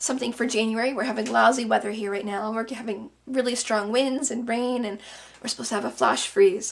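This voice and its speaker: Against noticeable background noise, a woman talks at a fairly quick pace with a fairly high pitch and fairly even intonation. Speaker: crafter. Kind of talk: craft tutorial. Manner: casual.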